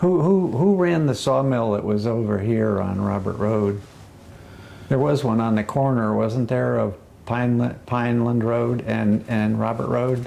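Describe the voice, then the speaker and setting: A man has an ordinary speaking voice at a medium pitch with ordinary pitch variation. He talks at a fairly slow pace with very even loudness. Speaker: interviewer, oral history project. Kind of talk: oral history interview questions.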